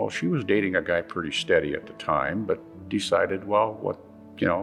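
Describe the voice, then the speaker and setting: Music plays in the background while a man with an Upper Midwest accent talks at a moderate pace. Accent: Upper Midwest American. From South Dakota. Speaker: Vietnam War veteran. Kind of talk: interview answer.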